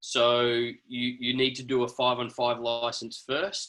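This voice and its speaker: Bright and sharp in tone, a man of medium pitch speaks with an Australian accent. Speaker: basketball referee. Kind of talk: video call discussion.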